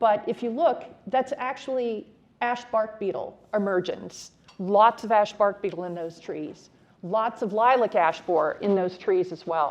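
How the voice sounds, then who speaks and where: A woman speaks in a plain, everyday voice. It sits fairly high, with ordinary pitch variation. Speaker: city forester, conference speaker. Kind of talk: conference presentation.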